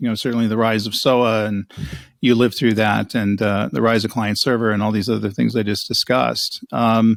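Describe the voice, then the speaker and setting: An ordinary speaking voice from a man, fairly low in pitch, fairly quick, with fairly even intonation. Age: 60s. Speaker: cloud strategy executive and author. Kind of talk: interview. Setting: podcast.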